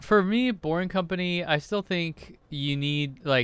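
A man speaks at a very slow pace with ordinary pitch variation, the sound dry with no echo. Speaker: podcast co-host. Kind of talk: casual podcast discussion. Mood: amused, skeptical. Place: home room. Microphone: studio mic.

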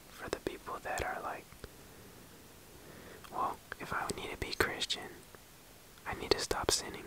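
Whispering at a moderate pace, a man leaves long, frequent pauses, and his loudness swings widely. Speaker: ASMR creator. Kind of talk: casual ASMR ramble to camera. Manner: whispered.

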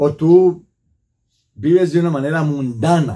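Against a quiet background, a man with a high pitch and a dark, mellow tone speaks very slowly, with ordinary pitch variation. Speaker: priest. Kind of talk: sermon reflection. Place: home room.

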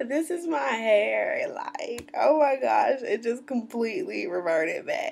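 With an American accent, a woman speaks at a very slow pace with hardly any pauses, over light background noise. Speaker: natural hair vlogger. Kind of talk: casual talk to camera. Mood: cheerful, chatty. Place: home room. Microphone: webcam.

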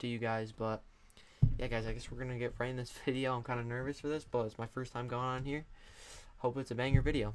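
The man speaks at a very fast pace. His intonation is monotone and flat. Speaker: youtuber. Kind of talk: casual vlog chat. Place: home room. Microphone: studio mic.

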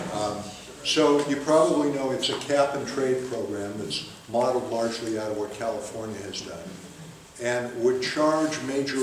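Male speech with audible room echo, ordinary pitch variation and light background noise behind it. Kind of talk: public talk explaining policy. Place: hall. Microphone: camera far.

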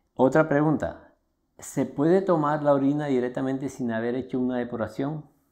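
A man talks at a moderate pace in a dark, mellow tone, the background quiet around him. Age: 60s. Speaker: alternative health promoter. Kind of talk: Q&A talk to camera. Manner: informal.

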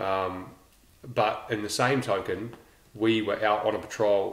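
A New Zealand accent with audible room echo. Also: man. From New Zealand, Lower Hutt (Naenae). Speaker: special forces veteran. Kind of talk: casual chat.

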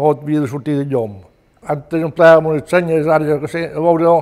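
Someone speaks with a Mallorcan accent at a moderate pace and with fairly even intonation. The background is quiet. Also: man. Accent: Mallorcan Catalan. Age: 80s+. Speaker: retired fisherman. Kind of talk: oral history testimony. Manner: halting. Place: home room.

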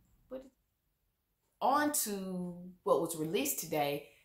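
In a quiet background with audible room echo, a woman is speaking. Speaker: vlogger. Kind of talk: casual vlog chat. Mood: animated, opinionated. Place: home room.

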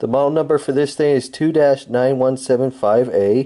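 Over light background noise, a man talks at a fairly slow pace. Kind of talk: casual product review. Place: home room. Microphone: phone near.

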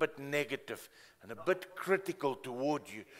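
The pace here is moderate. The voice is a man's. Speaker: preacher. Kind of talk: sermon. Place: church.

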